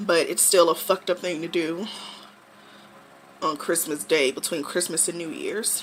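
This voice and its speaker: Long, frequent pauses amid noticeable background noise. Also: woman, fairly low pitch for a woman, moderate pace. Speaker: vlogger. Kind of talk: vlog storytelling, personal testimony. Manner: casual, with filler words.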